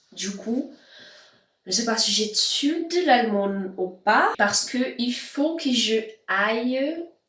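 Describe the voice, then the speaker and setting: A woman speaks very slowly, her pitch varying in an ordinary way. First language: not French (speaking French). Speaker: vlogger and language learner. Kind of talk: casual vlog. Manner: halting, many hesitations.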